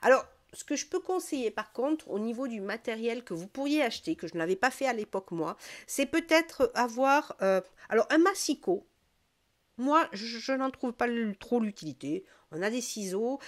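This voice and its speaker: High-pitched woman's voice at a moderate pace, with very wide pitch swings and a dry, close sound with no echo. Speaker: crafts youtuber. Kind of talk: tutorial. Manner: hesitant, many fillers.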